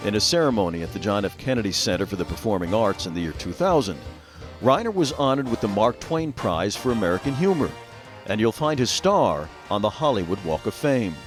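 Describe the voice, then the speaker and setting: With music in the background, a man with a fairly low pitch speaks at a fairly quick pace, his pitch swinging very widely. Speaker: TV host, narrator. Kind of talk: TV feature narration.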